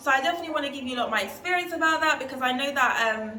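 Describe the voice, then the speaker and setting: A woman with a London accent speaks with ordinary pitch variation, and the recording has audible room echo and noticeable background noise. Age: 20s. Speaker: travel vlogger. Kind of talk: casual vlog talk to camera.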